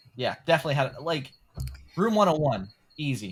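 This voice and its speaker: This man speaks with an American accent at a moderate pace. His voice is somewhat breathy. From US South. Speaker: podcast co-host. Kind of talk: casual chat.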